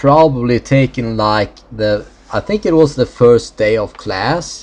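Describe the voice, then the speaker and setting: Each word comes out at a very slow pace. The voice has a Swedish accent. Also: man. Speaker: gaming video creator. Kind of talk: let's play commentary. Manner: halting.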